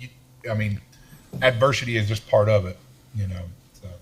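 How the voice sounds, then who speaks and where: Somewhat breathy, a man talks at a fairly quick pace in a fairly low pitch with fairly even intonation. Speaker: construction entrepreneur. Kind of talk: interview conversation. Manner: halting, many repeated words.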